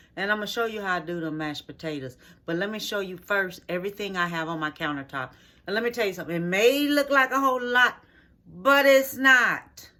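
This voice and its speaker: Speaking at a fairly quick pace, a woman of medium pitch makes very wide pitch swings on a very clean recording with a silent background. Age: 60s. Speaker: home cooking video host. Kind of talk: cooking tutorial with casual chat. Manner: casual, halting with fillers.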